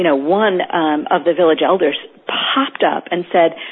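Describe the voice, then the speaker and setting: Noticeable background noise sits behind a woman's fairly low voice and lively intonation. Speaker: peacebuilding organization founder. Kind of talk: interview. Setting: phone call.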